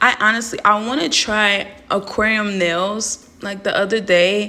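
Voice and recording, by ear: This woman's raspy voice has a bright, sharp tone, a fairly slow pace and fairly even intonation. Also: medium pitch for a woman.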